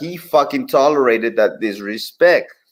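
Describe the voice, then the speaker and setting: A man is speaking. He has a Spanish accent. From southern Mexico. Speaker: commentator. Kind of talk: live stream commentary.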